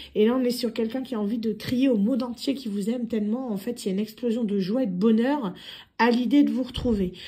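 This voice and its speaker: A woman with a dark, mellow tone talks at a very fast pace, her fairly high pitch held in fairly even intonation. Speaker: tarot card reader. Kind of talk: tarot reading monologue. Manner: hesitant, many fillers.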